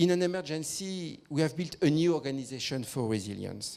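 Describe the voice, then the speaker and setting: With a French accent, a man speaks at a moderate pace and a fairly high pitch, using ordinary pitch variation. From France. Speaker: victim support organisation leader. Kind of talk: conference presentation. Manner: formal.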